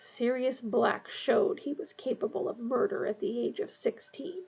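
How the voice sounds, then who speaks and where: A woman puts on a growling character voice, high-pitched with very wide pitch swings. She moves at a moderate pace. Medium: read story. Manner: sneering, snarling.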